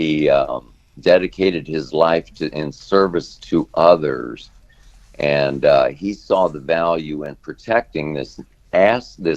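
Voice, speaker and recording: At a very slow pace, a man with an American accent speaks with big swings in loudness. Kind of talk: radio interview answer.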